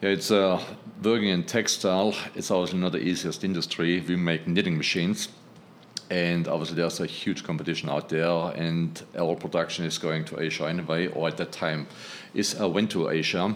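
A man with a German accent, a very deep, low pitch and a fairly quick pace. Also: fairly even intonation. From Germany. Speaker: textile engineer and healing prayer group leader. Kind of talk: casual interview conversation.

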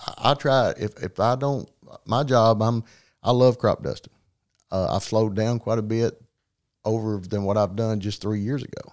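On a very clean recording, silent background, a man speaks at medium pitch and a moderate pace with fairly even intonation and long, frequent pauses. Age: 50s. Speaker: crop duster pilot and fast draw champion. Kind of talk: casual interview.

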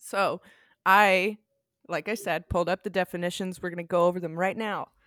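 In a very clean recording with a silent background, a woman speaks at a moderate pace, the sound dry and close with no echo. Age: 30s. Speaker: podcast host. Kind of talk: podcast interview. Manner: laughs often.

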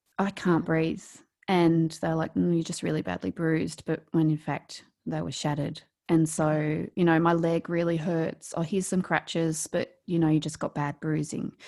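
Speaking with an Australian accent, a woman uses a fairly low pitch and a dark, mellow tone. Her intonation is monotone and flat, at a moderate pace. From rural New South Wales, Australia. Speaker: author and speaker. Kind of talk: casual interview telling personal story. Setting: video call across time zones.

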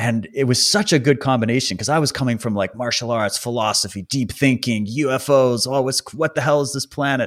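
A man talks at a fairly quick pace with hardly any pauses. He has an ordinary speaking voice at medium pitch, with ordinary pitch variation. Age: 30s. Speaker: podcast host and independent researcher. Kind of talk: casual interview chat. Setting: remote recording from home, wife present.

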